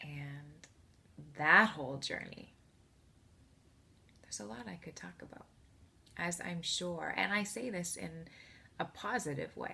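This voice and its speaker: A woman's very deep, low pitch with vocal fry, a bright, sharp tone, very wide pitch swings, and a fairly slow pace broken by long, frequent pauses. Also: big swings in loudness. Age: 30s. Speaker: support group member sharing personal story. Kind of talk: testimony.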